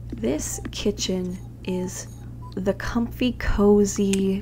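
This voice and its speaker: Soft-spoken, a woman talks against noticeable background noise. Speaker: gaming youtuber. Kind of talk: scripted narration.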